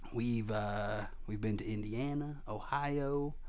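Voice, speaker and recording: Audible room echo surrounds a man's voice at medium pitch. He speaks with an American accent. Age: 20s. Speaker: stand-up comedian. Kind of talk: casual interview. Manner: animated.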